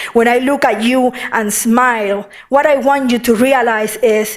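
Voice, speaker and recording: A woman in a Puerto Rican accent speaks at a high pitch and a fairly slow pace with fairly even intonation, amid noticeable background noise. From Puerto Rico. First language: Spanish. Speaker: poet. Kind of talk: poetry reading.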